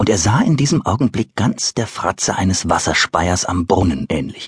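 With an animated tone and very wide pitch swings, a man talks at a moderate pace through vocal fry, the sound dry and close with no echo. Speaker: audiobook narrator and voice artist. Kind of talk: dramatic audiobook narration for children. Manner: animated, storytelling with vivid character voices.

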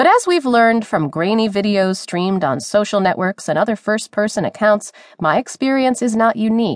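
A woman's normal speaking voice, fairly high in pitch, with lively intonation, a fairly quick pace and hardly any pauses, in a dry, close sound with no echo. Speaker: audiobook narrator. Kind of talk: audiobook narration of a newspaper opinion column. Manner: formal; serious, measured.

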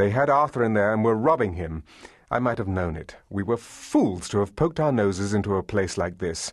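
This is a natural reading voice. The intonation moves in a lively way.

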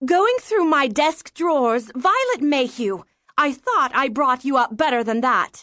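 A woman's put-on character voice, high-pitched and bright and sharp in tone, with lively intonation at a fairly slow pace.

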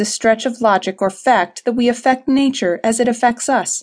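A normal speaking voice moves at a moderate pace with fairly even intonation. The background is quiet. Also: woman. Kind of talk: audiobook narration, reading aloud a self-help text. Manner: measured, formal, earnest.

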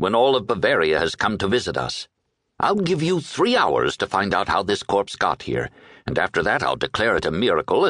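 A natural voice reads aloud over a quiet background.

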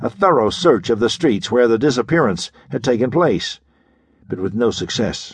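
A man's voice with very wide pitch swings, over a quiet background. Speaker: audiobook narrator. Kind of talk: dramatic audiobook narration of a pulp thriller. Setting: studio. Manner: gripping, measured storytelling pace with building suspense; crisp, urgent delivery in action passages, ominous in mystery.

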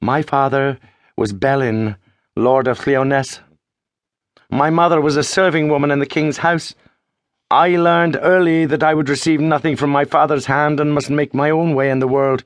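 With an unremarkable speaking voice, a man talks at a fairly high pitch and a moderate pace, his intonation fairly even and his loudness very even, over a quiet background. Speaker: audiobook narrator. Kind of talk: dramatic audiobook narration of epic fantasy, first-person retelling. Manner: solemn, measured, declamatory, building to hushed suspense.

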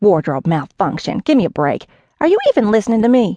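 In a put-on character voice, a woman speaks fairly quickly in an angry, shrill tone, her fairly high pitch making very wide swings. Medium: read story. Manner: angry, indignant, shrill.

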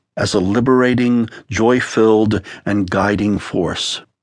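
A man speaks with an unremarkable speaking voice at a medium pitch. His pace is fairly slow. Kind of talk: audiobook narration, author reading his own memoir-style spiritual text aloud. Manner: measured, warm, earnest, pastoral tone with reflective pacing.

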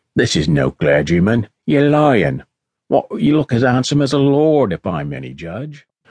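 A man's gruff, put-on character voice at a medium pitch, with very wide pitch swings, a moderate pace, and a dry, close sound with no echo

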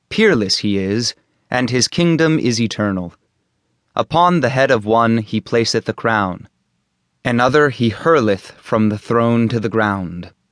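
Against a quiet background, a man with an unremarkable speaking voice talks fairly slowly at medium pitch with ordinary pitch variation. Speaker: audiobook narrator. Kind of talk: audiobook reading of translated religious poetry. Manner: formal, measured, solemn.

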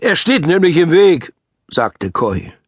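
A man with vocal fry speaks at a very slow pace and a fairly high pitch. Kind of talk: audiobook reading of a children's story, narrated aloud.

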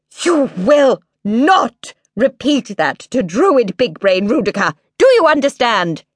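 A put-on character voice, fairly high in pitch and fairly slow in pace. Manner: stern, warning.

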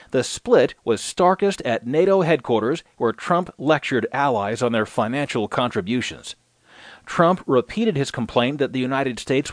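This man has an ordinary speaking voice, fairly high in pitch, with lively intonation at a moderate pace. The sound is dry and close with no echo, over a quiet background. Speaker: audiobook newsreader. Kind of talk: news reading, scripted digest of newspaper articles. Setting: studio audiobook recording. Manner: formal, steady, even-paced newsreader delivery.

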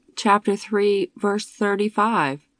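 In an ordinary speaking voice of medium pitch, a woman is heard with a dry, close sound with no echo against a quiet background. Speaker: poetry narrator. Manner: rhythmic, earnest; measured, devotional.

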